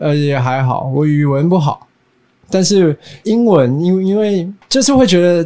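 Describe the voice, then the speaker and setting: This man talks at a fairly slow pace in a high voice for a man, with lively intonation, very even loudness and a dark, mellow tone. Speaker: band musician.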